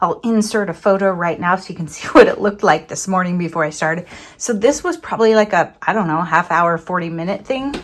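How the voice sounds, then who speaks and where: A woman talks at a very fast pace, her medium pitch moving with ordinary variation. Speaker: crafting vlogger. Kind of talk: casual vlog. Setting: home craft room.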